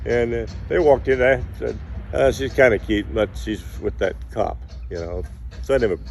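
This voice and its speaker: Music in the background beneath a man talking at a moderate pace. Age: 80s+. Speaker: sailor. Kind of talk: interview answer. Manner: casual, rambling.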